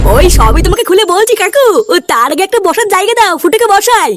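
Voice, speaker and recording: In a cartoonish character voice pitched extremely high, the speaker moves at a moderate pace. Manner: confident, commanding.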